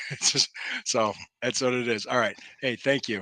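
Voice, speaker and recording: A man with an American accent and a medium-pitched voice with a bright, sharp tone, at a fairly quick pace, in a dry, close sound with no echo and a quiet background. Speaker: sports talk show host. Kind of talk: casual sports talk interview.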